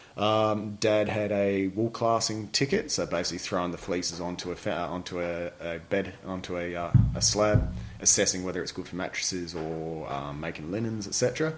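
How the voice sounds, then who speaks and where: Music plays behind a man of fairly low pitch who speaks at a moderate pace with lively intonation. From New Zealand (Invercargill), moved to Western Australia at 10. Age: 40s. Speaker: army veteran. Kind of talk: casual chat.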